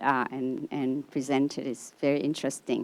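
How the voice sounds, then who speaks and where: Over a silent background in a very clean recording, a woman speaks at a fairly quick pace with a Vietnamese accent. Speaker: audience member. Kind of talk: audience question.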